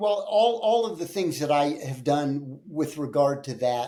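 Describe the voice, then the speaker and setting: A man's voice of dark, mellow tone. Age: 60s. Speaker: personal trainer and gym owner. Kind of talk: podcast interview. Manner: hesitant with fillers.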